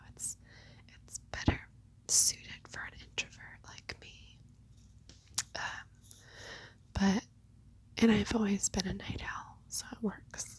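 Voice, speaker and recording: Whispering at a fairly slow pace, a woman leaves long, frequent pauses, and her loudness swings widely. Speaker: nurse. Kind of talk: ASMR whisper ramble. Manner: whispered; casual, rambling.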